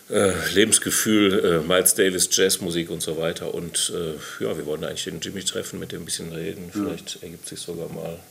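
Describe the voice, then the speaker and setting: Fairly quick and with fairly even intonation, a man talks at a very deep, low pitch. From Hamm, Westphalia, Germany. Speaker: jazz musician. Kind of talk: casual interview. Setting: studio.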